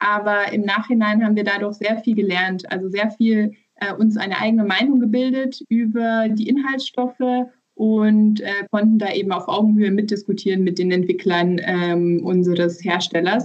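Fairly high in pitch, a woman with an unremarkable speaking voice talks at a moderate pace with fairly even intonation. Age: 30s. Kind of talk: interview.

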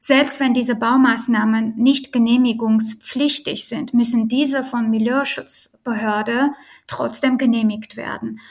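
A woman with an Armenian accent, fairly high in pitch, fairly slow, with monotone, flat intonation. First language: Armenian (speaking German). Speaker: real estate lawyer. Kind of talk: interview.

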